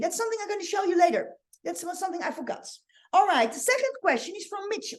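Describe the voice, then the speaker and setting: A woman speaks with a Dutch accent. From Netherlands. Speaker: online marketing coach. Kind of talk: live training. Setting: livestream. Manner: halting. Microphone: webcam.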